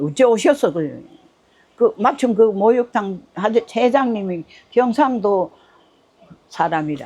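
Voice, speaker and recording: A woman's fairly high voice with lively intonation, a very slow pace, and long, frequent pauses. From North Gyeongsang, South Korea. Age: 80s+. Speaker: ramen shop owner. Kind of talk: interview answer. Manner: casual, plain-spoken.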